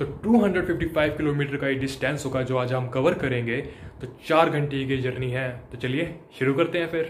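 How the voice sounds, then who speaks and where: Over light background noise, a man's speech moves at a moderate pace, his pitch varying in an ordinary way. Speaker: travel vlogger. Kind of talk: casual vlog chat. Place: home room. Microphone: phone near.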